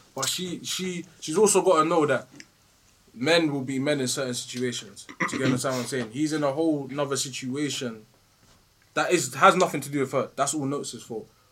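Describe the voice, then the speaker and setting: A man with a British accent speaks at a fairly quick pace. His voice is fairly high, with ordinary pitch variation. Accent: British urban. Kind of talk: casual chat. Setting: studio.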